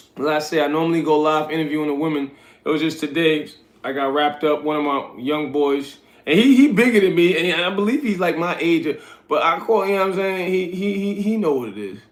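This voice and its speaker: Over audible room echo, a man speaks at a fairly quick pace. His fairly high pitch shows ordinary variation. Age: 40s. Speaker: livestreamer and street interviewer. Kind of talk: casual livestream chat. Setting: live stream at midnight. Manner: relaxed, conversational.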